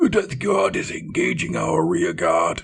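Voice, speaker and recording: A man's raspy, put-on character voice. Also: moderate pace. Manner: calling out urgently.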